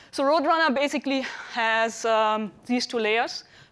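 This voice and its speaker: A fairly high-pitched woman with a German accent and ordinary pitch variation. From Germany. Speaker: computational scientist and cosmologist. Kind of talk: lecture. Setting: dinner talk to an audience. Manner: hesitant with frequent fillers.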